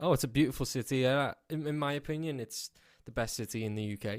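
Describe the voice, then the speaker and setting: In a Scouse accent, a man speaks with fairly even intonation. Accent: Scouse (Liverpool English). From England, Liverpool. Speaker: country music singer. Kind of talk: radio interview.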